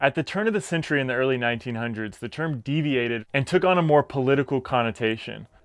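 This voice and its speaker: The speech is very fast with hardly any pauses, in an American accent. Pitch variation is ordinary, and the background is quiet. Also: man, medium pitch for a man. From Texas. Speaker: podcast host. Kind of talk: scripted narration.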